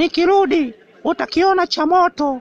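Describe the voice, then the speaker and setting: This is a cartoonish character voice with an extremely high pitch. The pace is moderate. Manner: hostile, insulting, menacing; shouting, threatening.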